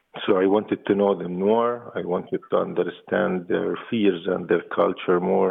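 A man speaks with an Arabic accent at a moderate pace. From West Bank, Jericho. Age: 40s. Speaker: peace activist. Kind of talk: interview.

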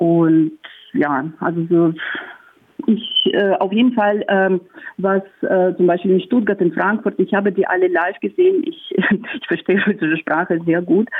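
With a Russian accent, a woman at medium pitch talks at a fairly slow pace, lively in intonation yet very even in loudness, over noticeable background noise. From Russia, Moscow. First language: Russian (speaking German). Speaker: counter-protester. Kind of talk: phone interview. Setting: phone call. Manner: halting.

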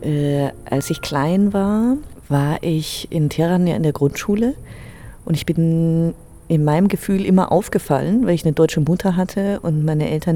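A woman's fairly low voice has a dark, mellow tone, ordinary pitch variation and a moderate pace. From Germany, early childhood in Tehran. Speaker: interviewee. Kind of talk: interview testimony.

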